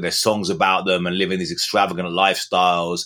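This man has a very deep, low pitch and a bright, sharp tone, talking at a fairly quick pace. The recording is very clean, with a silent background. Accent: English. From England. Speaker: journalist and author. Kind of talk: interview. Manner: halting, many repetitions.

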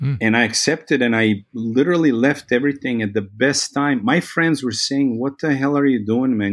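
Over a quiet background, a man with a Serbian accent talks at a fairly quick pace and a medium pitch. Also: ordinary pitch variation. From Serbia (Belgrade). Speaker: photographer and biology teacher. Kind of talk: casual interview conversation.

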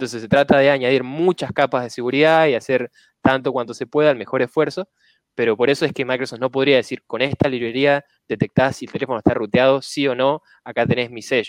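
Very fast speech with fairly even intonation and a dry, close sound with no echo. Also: man, medium pitch for a man. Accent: Argentine. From Argentina, Rosario. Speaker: software engineer. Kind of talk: casual chat.

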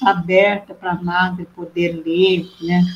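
Her medium-pitched voice moves at a very slow pace, and this woman keeps a monotone, flat intonation throughout. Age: 70s. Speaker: nun. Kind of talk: testimony.

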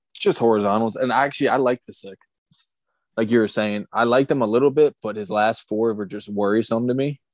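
With an American accent and an unremarkable speaking voice, a man talks at a fairly quick pace and medium pitch with big swings in loudness, in a dry, close sound with no echo against a quiet background. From Maryland, US. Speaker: horse racing handicapper. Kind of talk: casual chat.

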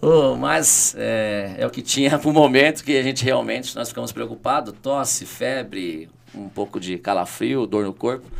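A man at a moderate pace with hardly any pauses. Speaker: city councillor and teacher. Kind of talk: podcast interview. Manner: animated.

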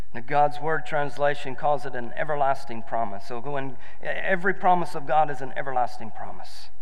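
Over noticeable background noise, a man with a fairly high pitch talks at a fairly quick pace with hardly any pauses and ordinary pitch variation. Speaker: preacher. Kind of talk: sermon to a live congregation, building to a shouting call-and-response climax. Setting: church with live congregation. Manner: animated, exhorting, urging the crowd to shout and dance, repeating lines for rhythm.

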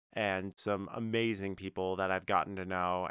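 A man with an American accent uses a bright, sharp tone at fairly low pitch and a moderate pace, in monotone, flat intonation. The sound is dry and close with no echo, on a very clean recording with a silent background. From North Carolina. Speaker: podcast co-host. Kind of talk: casual chat.

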